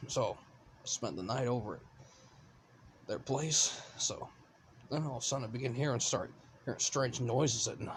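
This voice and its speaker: A put-on character voice from a man, raspy and medium in pitch, at a moderate pace with long, frequent pauses. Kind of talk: casual scary story telling. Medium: solo performance. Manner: rambling, halting, restarts words.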